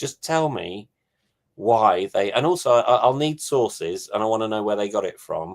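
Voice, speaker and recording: At a fairly quick pace, a man with an English accent speaks in a medium pitch. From England. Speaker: touring performer. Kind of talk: casual chat.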